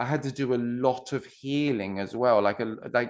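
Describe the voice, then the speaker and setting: A man's medium-pitched voice in a British accent, with lively intonation and a fairly slow pace, against a quiet background. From UK. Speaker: non-duality coach. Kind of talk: podcast interview. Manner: halting, many restarts.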